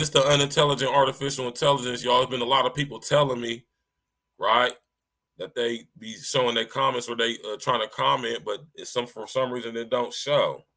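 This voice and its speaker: A man of medium pitch talks at a fairly quick pace in a bright, sharp tone. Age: 40s. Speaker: podcast host. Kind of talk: casual chat. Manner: animated.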